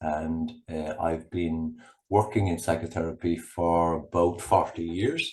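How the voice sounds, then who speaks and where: A man with a Cork accent speaks in a very deep, low pitch. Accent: Cork Irish. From Ireland, rural Cork. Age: 60s. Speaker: psychotherapist. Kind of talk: interview conversation. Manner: halting.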